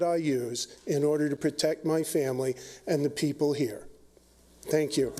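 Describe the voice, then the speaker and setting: This very clean recording has a silent background. A man speaks in a normal speaking voice, fairly high in pitch and at a fairly slow pace. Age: 60s. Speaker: pistol instructor speaking at public hearing. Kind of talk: public testimony. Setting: public hearing with audience.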